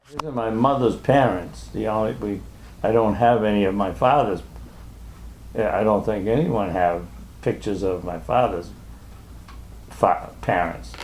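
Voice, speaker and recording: Audible room echo surrounds a man speaking at a moderate pace with long, frequent pauses. His pitch is fairly low, with ordinary variation. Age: 80s+. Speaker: elderly man recounting family history. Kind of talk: casual family chat over photos. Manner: halting.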